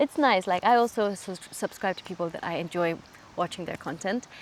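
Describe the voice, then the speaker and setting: A woman talks at a fairly quick pace. Her pitch is fairly low, with ordinary variation. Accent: German. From Switzerland and Kenya. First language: German. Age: 20s. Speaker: YouTuber. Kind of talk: casual Q&A vlog.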